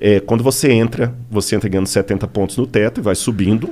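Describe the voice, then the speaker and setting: His tone is dark and mellow, and this man's pitch varies in an ordinary way. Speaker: archaeologist and pastor. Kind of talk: casual podcast interview. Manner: animated.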